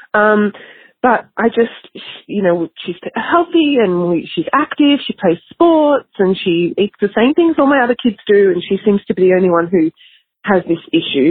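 A woman with an Australian accent speaks at a medium pitch and a moderate pace. Her pitch swings very widely. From Australia, Melbourne. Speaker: listener with a question, mother. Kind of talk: recorded voice message. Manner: hesitant.

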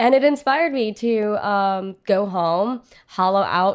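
A woman with an American accent has an unremarkable speaking voice, fairly high in pitch with ordinary pitch variation. The recording is very clean, with a silent background. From Filipino American, US. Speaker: chef. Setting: kitchen interview.

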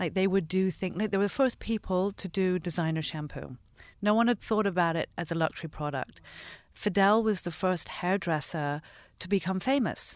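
A woman's ordinary speaking voice at medium pitch, with an American accent and ordinary pitch variation. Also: moderate pace. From London and Los Angeles. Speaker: entrepreneur and shoe designer. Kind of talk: interview conversation.

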